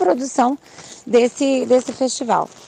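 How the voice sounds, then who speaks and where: A woman talks at a moderate pace. The sound is dry and close with no echo, though noticeable background noise is present. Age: 40s. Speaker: physical education teacher. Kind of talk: interview. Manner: halting, many fillers.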